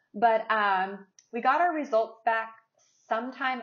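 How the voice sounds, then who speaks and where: A woman with an American accent speaks at a fairly slow pace with lively intonation. She has a normal speaking voice. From West Virginia. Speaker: podcast co-host. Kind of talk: casual chat.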